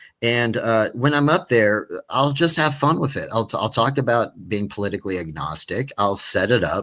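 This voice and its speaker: A man with vocal fry speaks at a moderate pace with hardly any pauses. His medium-pitched voice has a bright, sharp tone and lively intonation. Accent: American. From West Texas. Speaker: stand-up comedian. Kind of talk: casual chat. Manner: animated; halting.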